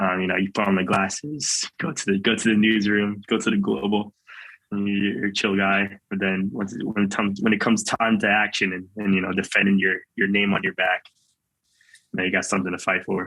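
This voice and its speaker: A man speaks in a normal speaking voice at a fairly low pitch. His pace is fairly quick and his intonation fairly even. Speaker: college football player, draft prospect. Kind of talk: interview.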